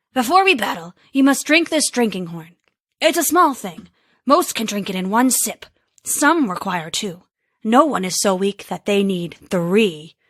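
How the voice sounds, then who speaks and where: A woman performs a put-on character voice at a fairly high pitch. The recording is very clean, with a silent background. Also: moderate pace. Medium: read story. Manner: smug, condescending.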